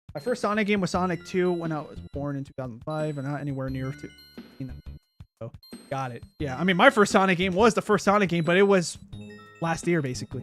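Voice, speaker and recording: Someone speaks at a very fast pace over music in the background. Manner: slight stutter, repetitions and hesitations.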